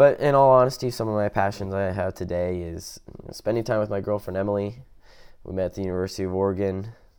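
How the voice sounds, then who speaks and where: Over a quiet background, a man with an American accent talks very fast at a fairly low pitch. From US, Washington State (Tacoma area). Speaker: podcast host. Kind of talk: casual monologue.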